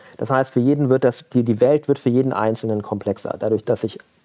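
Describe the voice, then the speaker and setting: At a moderate pace, a man speaks with a medium-pitched, dark, mellow tone and ordinary pitch variation. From Germany, Mönchengladbach (Lower Rhine). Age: 40s. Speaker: entrepreneur. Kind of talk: interview. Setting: video call. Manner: halting, many fillers.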